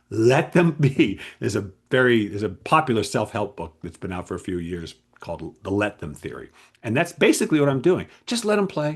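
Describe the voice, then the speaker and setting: A man with a medium-pitched, somewhat breathy voice talks at a fairly quick pace, his loudness swinging widely and his pitch moving in very wide swings. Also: quiet background. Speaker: game writer and creativity coach. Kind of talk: casual solo talk to camera. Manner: fast; animated.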